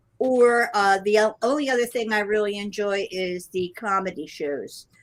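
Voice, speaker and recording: This is a woman with an unremarkable speaking voice and a medium pitch. She talks at a moderate pace with ordinary pitch variation. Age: 60s. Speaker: guest cruiser. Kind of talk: casual chat.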